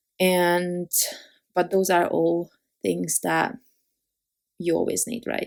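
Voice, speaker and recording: In a very clean recording with a silent background, a woman with a non-native accent speaks at a very slow pace, leaving long, frequent pauses. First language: not English. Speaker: card-making crafter. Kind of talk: tutorial. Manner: halting, many fillers.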